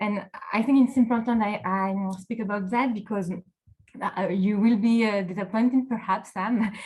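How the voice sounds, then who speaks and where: With a strong French accent, a woman speaks at a moderate pace and medium pitch, somewhat breathy, with fairly even intonation. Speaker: local politics executive director and consultant. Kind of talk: panel discussion. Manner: halting, many fillers.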